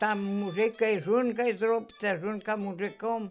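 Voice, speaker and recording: A woman with a Polesian accent speaks at a fairly slow pace over music in the background. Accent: East Polesian dialect. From Chernihiv region, Ukraine (flooded village by the Dnieper). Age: old. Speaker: village elder, former collective farm worker. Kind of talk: interview answer.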